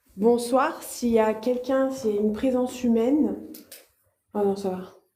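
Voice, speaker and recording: With audible room echo, a woman speaks fairly slowly at a high pitch and with fairly even intonation. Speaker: medium and paranormal explorer. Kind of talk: live vlog exploration, addressing viewers. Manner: speaks softly out of fear; hesitant, many fillers and repetitions.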